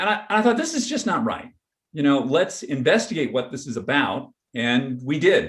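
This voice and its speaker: A somewhat breathy man talks at a moderate pace, his fairly high pitch making very wide swings. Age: 60s. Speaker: photographer and researcher on aging. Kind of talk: panel interview. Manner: casual, with many fillers and restarts.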